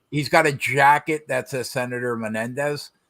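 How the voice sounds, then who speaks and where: With a New Jersey accent, a man speaks in a bright, sharp tone at a fairly high pitch, his intonation fairly even. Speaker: podcast co-host. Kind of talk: casual chat.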